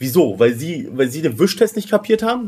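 This man talks at a very fast clip in a high voice, his pitch swinging very widely. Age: 30s. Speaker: podcaster. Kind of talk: casual chat.

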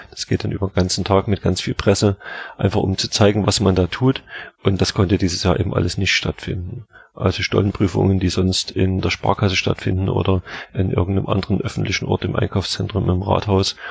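A man with a very deep, low pitch speaks at a fairly quick pace with fairly even intonation, the sound dry and close with no echo. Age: 40s. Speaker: baker and bakery school head. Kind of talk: interview.

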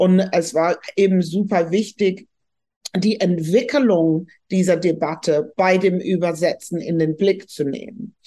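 A woman's very slow delivery at medium pitch, dark and mellow in tone, with ordinary pitch variation. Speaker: professor and sociologist. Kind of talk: interview.

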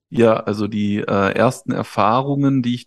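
A normal speaking voice moves at a fairly slow pace with fairly even intonation. The background is quiet. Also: man. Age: 30s. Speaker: life coach. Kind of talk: casual interview.

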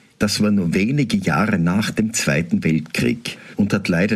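With noticeable background noise behind him, a man with a very deep, low pitch speaks at a fairly slow pace with lively intonation. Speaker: Protestant pastor. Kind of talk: radio devotional reflection.

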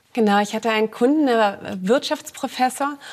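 A woman with a normal speaking voice, fairly high in pitch, with ordinary pitch variation at a moderate pace. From Berlin, Germany. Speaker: analog astronaut, scientist. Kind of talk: talk show interview.

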